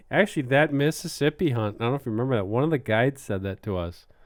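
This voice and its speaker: A man speaks with a Wisconsin accent. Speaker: podcast host. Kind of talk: casual chat.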